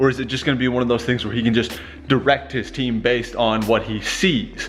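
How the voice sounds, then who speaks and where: Noticeable background noise surrounds this man. He speaks at a fairly quick pace with a medium pitch. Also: fairly even intonation. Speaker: vlogger and blacksmith. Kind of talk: casual vlog.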